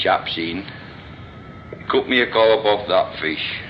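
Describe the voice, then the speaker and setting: Noticeable background noise sits behind a man who speaks fairly slowly. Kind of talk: reminiscing anecdotes.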